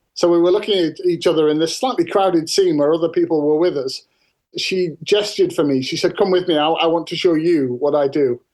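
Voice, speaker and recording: A man's high-pitched voice with a Cumbrian accent, fairly quick pace and ordinary pitch variation. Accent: northern English (Cumbrian). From northern England. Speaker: farmer and author. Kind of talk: interview storytelling.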